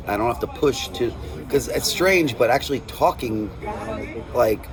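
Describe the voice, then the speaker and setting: There is noticeable background noise while a man speaks at a moderate pace. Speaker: death metal guitarist and vocalist. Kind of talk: interview. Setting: after a show, quiet area. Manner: casual, halting with many fillers.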